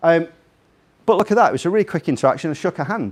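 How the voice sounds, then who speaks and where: An animated tone comes through, carried with a slight Scouse accent. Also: man. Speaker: invited speaker. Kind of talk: talk to a live audience. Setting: room with audience.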